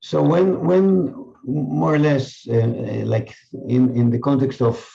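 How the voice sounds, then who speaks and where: A man is talking. His voice rests at a medium pitch. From Israel. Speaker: mindfulness teacher. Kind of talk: casual chat. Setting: video call.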